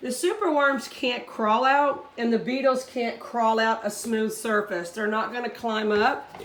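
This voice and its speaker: Noticeable background noise behind a woman's speech with ordinary pitch variation. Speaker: hobbyist insect breeder. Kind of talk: tutorial. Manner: casual, with fillers.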